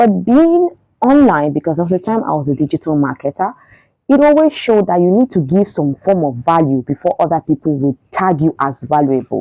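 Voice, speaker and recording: Over music in the background, a woman with a fairly low pitch talks at a fairly quick pace with very wide pitch swings. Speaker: radio presenter and voiceover artist. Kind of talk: casual talk to camera. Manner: upbeat, chatty.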